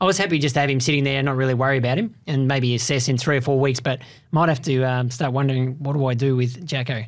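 Against a quiet background, a man talks at a very fast pace. His pitch shows ordinary variation. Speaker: podcast co-host. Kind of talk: sports commentary discussion. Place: studio. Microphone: studio mic.

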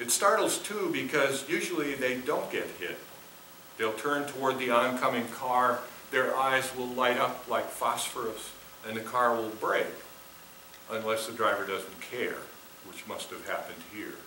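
With an American accent, a man speaks at a fairly slow pace with ordinary pitch variation, over light background noise and audible room echo. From Minnesota, US. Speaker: poet. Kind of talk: poetry reading performed. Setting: theater with audience. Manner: measured, expressive. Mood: calm, reflective. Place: stage.

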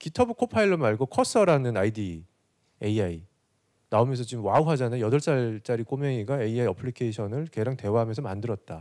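Lively intonation marks this man's speech against a quiet background. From South Korea. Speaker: corporate digital executive; presenter. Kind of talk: conference presentation. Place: hall. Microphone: handheld.

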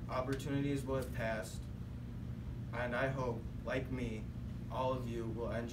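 A man talks at a moderate pace with long, frequent pauses. Loud noise fills the background. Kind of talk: prepared speech. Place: classroom. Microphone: camera far.

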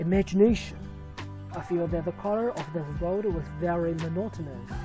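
Music plays in the background as a woman with a non-native accent speaks at a moderate pace. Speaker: painter. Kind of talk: painting tutorial narration.

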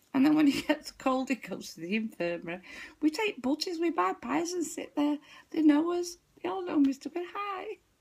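In a Manchester accent, a woman with a high pitch speaks at a moderate pace in an animated tone with very wide pitch swings, over a quiet background. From northern England. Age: 60s. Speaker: vlogger telling a funny story. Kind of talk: stand-up style comic storytelling, anecdote told to camera with frequent laughter. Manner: animated, giggly, chatty and rambling, laughing through her punchlines. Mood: amused, laughing storytelling. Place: home room. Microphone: webcam.

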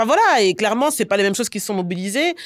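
Her pitch is medium, with very wide swings. The woman is recorded against a quiet background. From Brussels, Belgium. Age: 30s. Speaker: entrepreneur, platform founder; guest. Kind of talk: interview. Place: studio. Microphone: studio mic.

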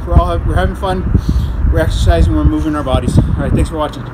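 A man's very fast delivery with ordinary pitch variation and loud background noise. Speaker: fitness instructor. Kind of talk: tutorial. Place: street. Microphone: camera far.

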